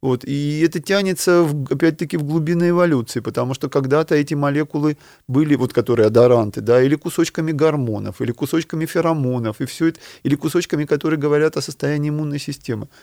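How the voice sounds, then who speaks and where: In a very clean recording with a silent background and a dry, close sound with no echo, a man speaks at a very fast pace with a dark, mellow tone, fairly high pitch and ordinary pitch variation. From Ukraine, small steppe town. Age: 50s. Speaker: neuroscientist professor. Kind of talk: interview.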